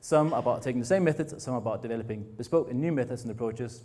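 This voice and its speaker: Somewhat breathy and dark, mellow in tone, a man of medium pitch with a slight northern Danish accent speaks with ordinary pitch variation, with audible room echo around him. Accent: hint of a northern Danish drawl. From Denmark, Frederikshavn (north Jutland). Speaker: innovation foundation director. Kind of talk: conference talk. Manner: fast.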